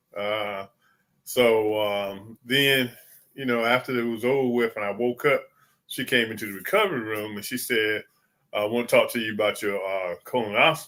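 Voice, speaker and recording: Recorded very cleanly against a silent background, a man at medium pitch talks at a moderate pace with fairly even intonation and a bright, sharp tone. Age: 60s. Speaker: cancer survivor. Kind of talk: interview. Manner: casual, conversational.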